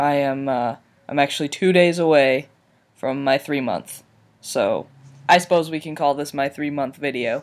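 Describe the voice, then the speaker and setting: Speaking at a moderate pace with fairly even intonation, a man with a fairly high pitch is heard on a very clean recording against a silent background. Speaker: video blogger. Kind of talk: personal vlog update. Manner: halting, many fillers.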